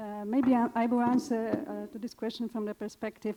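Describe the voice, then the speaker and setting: A woman with a Polish accent has a dark, mellow tone and fairly even intonation. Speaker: evaluation consultant. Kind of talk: panel discussion answer.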